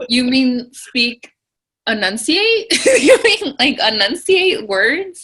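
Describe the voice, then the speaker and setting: A woman's raised, projected voice rings out high-pitched with a bright, sharp tone and very wide pitch swings. She speaks at a very slow pace. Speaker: guest. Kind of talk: casual chat.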